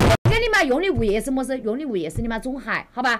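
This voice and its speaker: A woman with a Wuhan accent talks at a very fast pace and high pitch, her pitch swinging very widely. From Wuhan, China. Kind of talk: livestream real-estate advice. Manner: brash, fast, heavy swearing.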